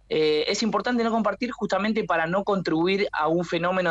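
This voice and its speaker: A man speaks with lively intonation. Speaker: fact-checking media director. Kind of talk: radio interview.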